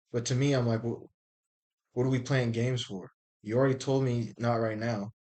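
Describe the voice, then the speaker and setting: This man's voice sits at a medium pitch and moves at a moderate pace. His tone is animated. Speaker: video blogger. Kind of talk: casual monologue. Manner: loud.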